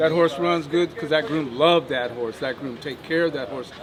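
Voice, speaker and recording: The man's pitch is fairly high and varies in an ordinary way, with noticeable background noise behind him. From Ohio, US Midwest. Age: 60s. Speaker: horseman, horse sales agent. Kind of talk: casual interview. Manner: animated.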